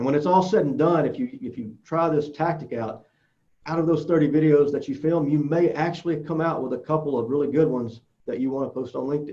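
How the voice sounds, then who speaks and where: The pitch varies in an ordinary way. The tone is dark and mellow. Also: man, fairly high pitch for a man. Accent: strong Southern US. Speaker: social media speaker. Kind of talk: conference presentation.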